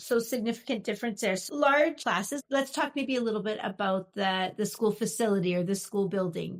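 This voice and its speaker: A woman with a Canadian accent and a plain, everyday voice talks at a fairly quick pace, fairly high in pitch with ordinary pitch variation, in a very clean recording with a silent background. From Canada. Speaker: podcast host and educator. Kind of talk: interview.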